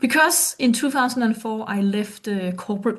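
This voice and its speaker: The background is quiet. A woman speaks in a somewhat breathy voice. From Denmark. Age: 50s. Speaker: performance coach. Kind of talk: presentation. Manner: halting.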